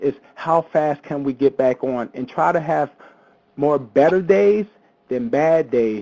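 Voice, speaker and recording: A man with an American accent and a dark, mellow tone speaks at a fairly slow pace and fairly high pitch, with ordinary pitch variation and a dry, close sound with no echo. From US Northeast, Philadelphia. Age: 40s. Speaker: panelist living with diabetes, personal trainer. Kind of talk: personal testimony presentation. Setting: webinar.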